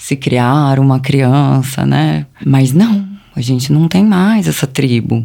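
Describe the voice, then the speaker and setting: A woman with a very deep, low pitch speaks at a fairly slow pace with very wide pitch swings, against noticeable background noise. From Brazil, ABC Paulista (São Paulo state). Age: 30s. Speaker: presenter and communicator, mother. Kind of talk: interview conversation.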